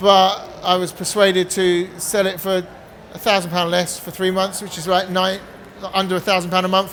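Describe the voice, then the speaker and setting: Noticeable background noise is present. A man talks with a high pitch and monotone, flat intonation. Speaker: addiction recovery coach. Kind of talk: seminar talk with sales pitch. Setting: stage with audience. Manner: fast.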